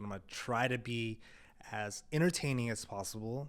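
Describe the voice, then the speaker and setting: The background is completely silent, and the recording is very clean. A man talks in a medium pitch. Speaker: video production company founder. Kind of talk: casual vlog monologue. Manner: monotone.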